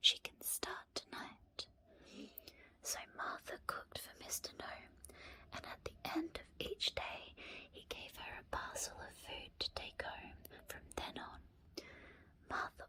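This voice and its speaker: Whispering in a gentle tone, a woman speaks at a very slow pace. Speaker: ASMR creator and storyteller. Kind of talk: bedtime story reading. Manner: soft-spoken, gentle.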